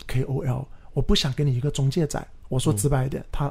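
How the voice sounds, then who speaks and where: A man speaks at a fairly quick pace, his pitch fairly high. His voice is somewhat breathy. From Guangzhou, southern China. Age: 30s. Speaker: real estate podcast host and agent. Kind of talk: casual chat.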